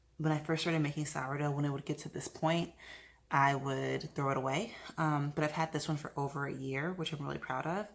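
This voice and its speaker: A woman speaks quietly in a very deep, low pitch, at a fairly quick pace. Her intonation is fairly even, and the recording is very clean with a silent background. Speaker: lifestyle vlogger and yoga instructor. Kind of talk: vlog narration. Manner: quiet, hushed; casual with fillers.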